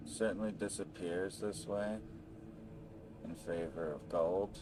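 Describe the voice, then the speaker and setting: Soft-spoken and very deep, a man talks at a very slow pace with lively intonation and long, frequent pauses. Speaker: gaming streamer. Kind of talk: casual gameplay commentary.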